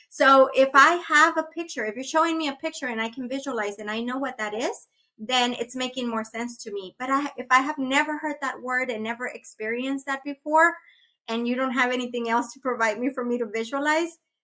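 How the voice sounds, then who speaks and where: A woman with a Spanish accent projects a raised, high-pitched voice with a bright, sharp tone. She moves at a fairly quick pace with ordinary pitch variation. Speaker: early childhood education trainer. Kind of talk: webinar Q&A. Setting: online webinar.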